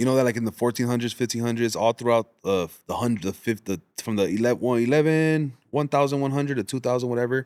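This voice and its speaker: The man talks at a very fast pace. The sound is dry and close, with no echo. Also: medium pitch for a man, ordinary pitch variation. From Los Angeles, South Central, US-born to Mexican parents. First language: Spanish. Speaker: podcast host. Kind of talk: casual chat.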